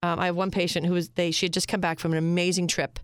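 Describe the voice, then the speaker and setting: A woman with an American accent speaks in a fairly low pitch at a fairly quick pace. Her intonation is flat and monotone, on a very clean recording with a silent background. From Pennsylvania, York. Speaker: surgeon and integrative medicine director. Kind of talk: interview. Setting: studio.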